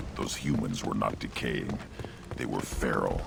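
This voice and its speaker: Over loud background noise, a man uses a put-on character voice at a moderate pace. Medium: machinima. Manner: cold, terse.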